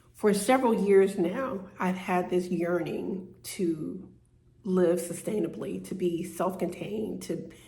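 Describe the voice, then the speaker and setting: Speaking at a very slow pace, a woman has medium pitch with ordinary variation, a dark, mellow tone and vocal fry, with audible room echo. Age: 60s. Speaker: vlogger. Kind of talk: personal vlog monologue. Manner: halting, many fillers and repeats.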